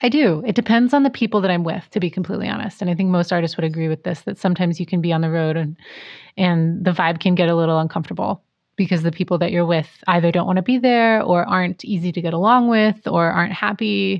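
In an American accent, a woman with a fairly low pitch talks at a very fast pace with ordinary pitch variation. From US Pacific Northwest. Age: 30s. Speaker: jazz singer and vocal teacher. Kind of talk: casual interview.

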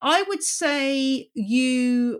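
A woman speaks with a British accent and lively intonation. The recording is very clean, with a silent background. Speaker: journalist and podcast host. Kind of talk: casual interview.

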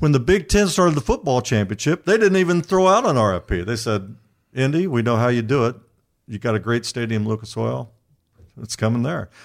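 A man with an Indiana accent, medium in pitch, at a fairly quick pace with very wide pitch swings. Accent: Midwestern US (Indiana). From Indianapolis, Indiana. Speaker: sports journalist. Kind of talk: interview conversation.

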